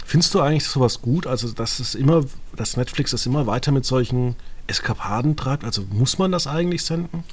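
The pace runs fairly quick, with ordinary pitch variation. It is an ordinary speaking voice. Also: man, medium pitch for a man. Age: 30s. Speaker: podcast host. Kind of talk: casual chat.

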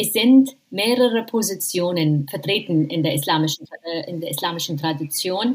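With an Arabic accent, a woman of medium pitch speaks at a moderate pace with lively intonation. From Jordan. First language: Arabic (speaking German). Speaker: professor of Islamic theology. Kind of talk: interview. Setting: remote call from home in quarantine. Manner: halting, many fillers.

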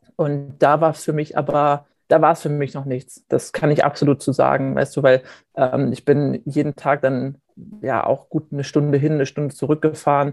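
Music plays behind a man whose intonation stays monotone and flat. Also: fairly high pitch for a man, moderate pace, dry, close sound with no echo. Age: 20s. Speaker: former youth footballer, student. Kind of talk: interview.

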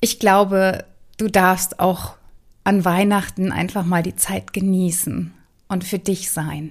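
The speech moves at a very slow pace with fairly even intonation and a gentle, warm tone, on a very clean recording with a silent background. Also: woman. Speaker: relationship mentor and podcast host. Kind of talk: guided meditation. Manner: slow, calm, soothing; gentle, warm, with long pauses.

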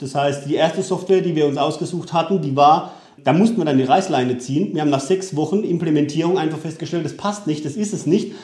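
The speech moves at a fairly quick pace with ordinary pitch variation, and audible room echo is present. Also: man. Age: 30s. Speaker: solar company founder. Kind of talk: interview. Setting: at his company premises.

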